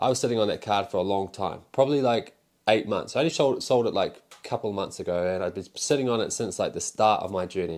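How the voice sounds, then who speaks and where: Here a man speaks with a New Zealand accent at a very fast pace. The recording is very clean, with a silent background. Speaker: pokemon card seller and YouTuber. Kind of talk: casual vlog monologue. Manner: casual, rambling with fillers.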